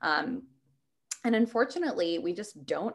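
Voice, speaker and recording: A woman speaks at a moderate pace with lively intonation and an American accent. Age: 20s. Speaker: startup CEO and eating disorder advocate. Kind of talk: interview.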